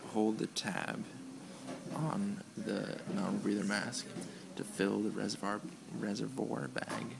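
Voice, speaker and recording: A man whispering over noticeable background noise. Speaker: EMT student. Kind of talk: skill demonstration walkthrough. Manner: whispered. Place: hall. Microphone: phone near.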